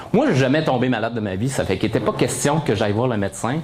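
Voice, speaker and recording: A man with a medium-pitched voice speaks fairly quickly in an animated tone with lively intonation. Audible room echo and noticeable background noise are present. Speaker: motivational speaker, blood recipient. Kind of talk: testimony. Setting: stage with audience.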